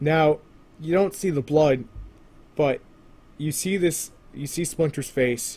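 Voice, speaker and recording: Ordinary pitch variation and a moderate pace, in a somewhat breathy voice. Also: man. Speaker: TV episode reviewer. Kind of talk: video review monologue. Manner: animated.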